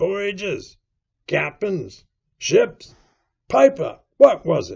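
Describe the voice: A man puts on a character voice with a high pitch, very wide pitch swings and a very slow pace. There's vocal fry, a slightly husky edge and a slightly mellow tone.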